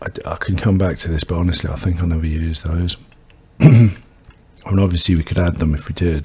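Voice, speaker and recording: A soft-spoken man mumbles in a very deep, low voice. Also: fairly even intonation, fairly quick pace. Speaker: game developer streamer. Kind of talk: coding tutorial livestream. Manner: soft-spoken, mumbling; quiet.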